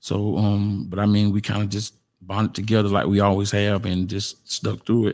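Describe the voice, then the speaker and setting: A man with a South Carolina accent and a fairly low pitch, at a moderate pace, in a very clean recording with a silent background. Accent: Southern US (South Carolina). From US South. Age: 40s. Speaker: podcast guest. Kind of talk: testimony. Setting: studio. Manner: laid back.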